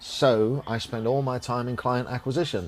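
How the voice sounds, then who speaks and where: A man with a strong English accent speaks at a medium pitch. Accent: English, thick. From England. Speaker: podcast host and business owner. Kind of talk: casual chat. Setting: cigar lounge. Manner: animated.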